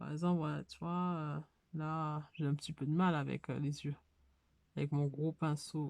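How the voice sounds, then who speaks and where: A woman's very deep, low voice, flat and monotone, at a fairly slow pace with long, frequent pauses, on a very clean recording with a silent background. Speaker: hobby YouTuber. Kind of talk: casual tutorial. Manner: hesitant, many fillers.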